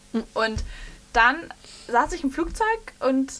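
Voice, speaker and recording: A woman is speaking. Her pace is moderate. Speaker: radio host. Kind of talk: casual chat.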